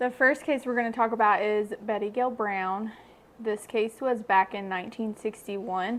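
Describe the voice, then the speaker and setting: A woman with a Kentucky accent speaks at a fairly high pitch and a moderate pace. Her intonation is fairly even, and the background is quiet. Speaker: true crime podcaster. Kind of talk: casual chat.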